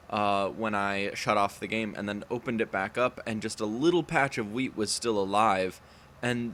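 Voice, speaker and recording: A man with a fairly low pitch, ordinary pitch variation and a moderate pace. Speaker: gaming youtuber. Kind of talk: let's play commentary. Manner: casual, filler-heavy; stumbling over words.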